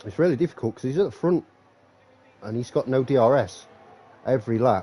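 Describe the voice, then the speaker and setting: Here a man talks at a very fast pace in a dark, mellow tone. His medium pitch carries lively intonation. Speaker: sim racing commentator. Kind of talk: live commentary. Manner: animated.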